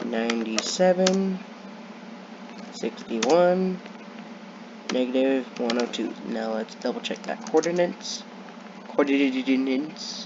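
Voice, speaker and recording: Pitched fairly high, a man speaks at a very slow pace with very wide pitch swings and long, frequent pauses, over noticeable background noise. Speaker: gaming youtuber. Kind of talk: gameplay commentary.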